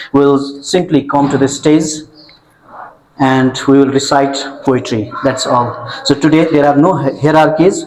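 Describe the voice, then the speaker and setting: With a Nepali accent, a man speaks in a fairly high voice and fairly even intonation. Noticeable background noise and audible room echo surround him. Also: very even loudness. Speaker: event host. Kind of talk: formal event introduction. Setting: stage with audience. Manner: formal.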